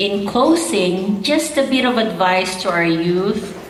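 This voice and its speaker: A woman speaking at a very slow pace amid audible room echo and noticeable background noise. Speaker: politician. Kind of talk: speech reading from a text. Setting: gala stage with audience. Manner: read from notes, some halting restarts.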